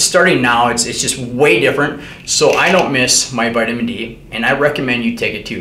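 A moderate pace amid audible room echo. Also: man. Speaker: fitness educator. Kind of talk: lecture. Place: home room.

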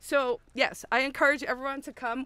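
A woman with a bright, sharp tone speaks at a fairly slow pace in a dry sound with no echo. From South Africa. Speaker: event organizer and activist; guest. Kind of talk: interview, casual conversation. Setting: filmed at an outdoor festival. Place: open country. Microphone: studio mic.

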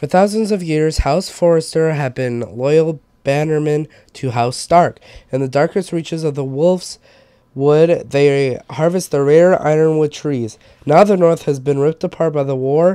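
A man speaks at a moderate pace with a dark, mellow tone, fairly even intonation and a fairly high pitch. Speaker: gameplay streamer. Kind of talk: reading aloud; let's play commentary.

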